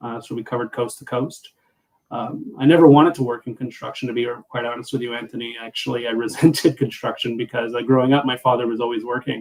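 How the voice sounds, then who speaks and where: A man speaks at a very fast pace with a Montreal accent, his pitch medium and his intonation fairly even. His loudness swings widely from moment to moment. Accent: Montreal English Canadian. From Canada, Montreal Quebec. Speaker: business coach. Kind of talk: podcast interview.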